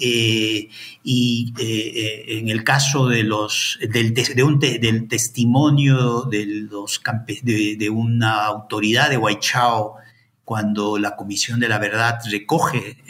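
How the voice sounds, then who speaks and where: A very slow, monotone delivery with flat intonation. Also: man, medium pitch for a man. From Peru, Ayacucho. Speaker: historian and anthropologist, professor. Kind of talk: interview. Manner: halting, many fillers and repetitions.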